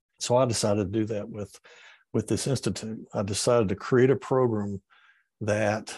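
A man with a Southern US accent, a dark, mellow tone, and a fairly low pitch, at a moderate pace with fairly even intonation over a quiet background. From Georgia and Tennessee, US South. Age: old. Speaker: environmental educator, former public official. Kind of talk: interview. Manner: halting, frequent fillers.

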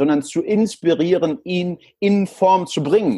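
Speaking very slowly, a man uses a high pitch, a dark, mellow tone and lively intonation. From El Salvador and Frankfurt, Germany. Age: 30s. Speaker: sales trainer. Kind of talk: interview.

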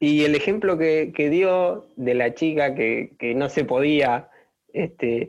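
This man's voice sits fairly high in pitch. It shows ordinary pitch variation. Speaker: podcast host. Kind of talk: interview conversation.

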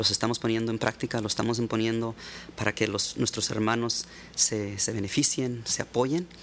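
This man has a normal speaking voice at medium pitch. He keeps a moderate pace and fairly even intonation. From Mexico, Baja California (Ensenada). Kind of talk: interview conversation. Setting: studio.

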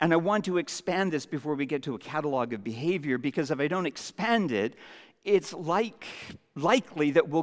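A man with a Canadian accent speaks at a moderate pace in an ordinary speaking voice, his pitch fairly high and his intonation lively. The recording is very clean with a silent background. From Canada, Vancouver Island. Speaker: pastor. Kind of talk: sermon.

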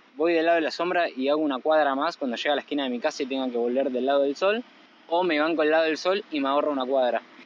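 A man talks very fast at a fairly high pitch, with ordinary pitch variation. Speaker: podcast co-host. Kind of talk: casual chat. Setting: on the beach, phone recorder. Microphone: phone recorder.

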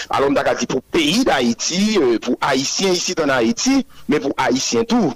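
Against noticeable background noise, a man speaks at a very slow pace. His pitch makes very wide swings. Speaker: political group spokesperson. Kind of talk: news interview.

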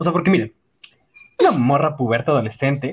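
A man speaks with a Mexican accent. His intonation is lively. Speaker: podcast co-host. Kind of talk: casual chat. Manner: animated.

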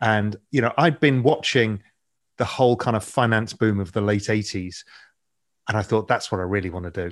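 In a very clean recording with a silent background, a man speaks at a moderate pace with ordinary pitch variation. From England. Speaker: financial media founder and investor. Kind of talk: interview conversation.

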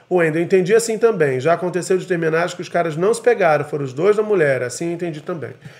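This man's pitch sits high and moves in an ordinary way. He talks very fast. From Brazil. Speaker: podcast host. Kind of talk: casual chat. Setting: home studio, live video stream.

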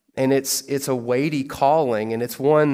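With a Kentucky accent, a man speaks in fairly even intonation. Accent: Kentucky Southern American. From US South. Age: 30s. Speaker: pastor. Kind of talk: sermon.

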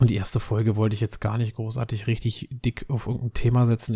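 A man talks at a very fast pace in a medium pitch with monotone, flat intonation. His tone is dark and mellow, and somewhat breathy. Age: 30s. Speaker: podcaster. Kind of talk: casual monologue.

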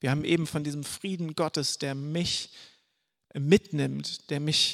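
A man's unremarkable speaking voice, fairly high in pitch and fairly slow, in a dry, close sound with no echo on a very clean recording with a silent background. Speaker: preacher. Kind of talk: sermon. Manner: casual.

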